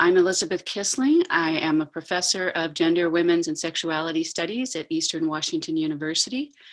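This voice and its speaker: Barely pausing, a woman talks in a plain, everyday voice with a fairly low pitch and ordinary pitch variation. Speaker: professor. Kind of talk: online panel discussion.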